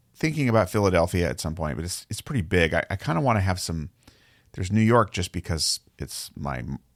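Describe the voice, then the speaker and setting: Vocal fry runs through speech with very wide pitch swings at a fairly quick pace. The recording is very clean with a silent background. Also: man, very deep, low pitch for a man. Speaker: podcast host. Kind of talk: casual solo talk.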